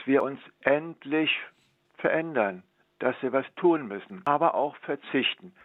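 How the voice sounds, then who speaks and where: The man speaks at a very slow pace. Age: 80s+. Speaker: former Olympic cyclist and teacher. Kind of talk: interview.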